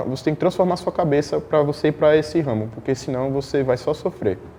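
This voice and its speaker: A man speaks with a strong northeastern Brazilian accent. His pitch sits fairly high. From Northeast Brazil. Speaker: fashion model. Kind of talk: interview.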